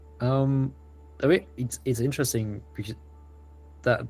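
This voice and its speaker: A man is speaking while music plays in the background. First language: German. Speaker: indie game developer. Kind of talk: interview.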